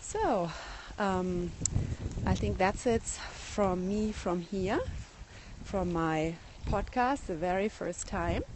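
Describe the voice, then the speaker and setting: With a German accent, a woman speaks very slowly at a medium pitch. Her pitch varies ordinarily, and she takes long, frequent pauses. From Germany. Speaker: garden blogger. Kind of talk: live garden tour broadcast. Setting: outdoors in garden, phone livestream. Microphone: iPhone 6 recording.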